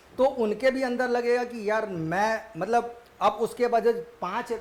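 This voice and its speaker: A man is speaking. Room echo can be heard. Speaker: history teacher for civil service exams. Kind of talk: lecture. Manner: casual, conversational.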